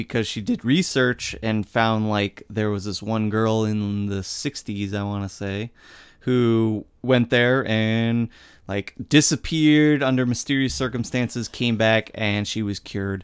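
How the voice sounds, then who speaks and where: A man with an American accent speaks in a normal speaking voice at a medium pitch. His pace is fairly slow and his pitch variation ordinary. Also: very clean recording, silent background. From Indiana, US Midwest. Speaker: horror podcast co-host. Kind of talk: casual chat.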